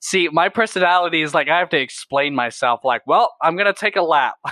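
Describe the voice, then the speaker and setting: In an unremarkable speaking voice, a man speaks with an American accent. His intonation is lively and his pace is moderate. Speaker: reptile YouTuber and educator. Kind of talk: casual chat. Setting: video call.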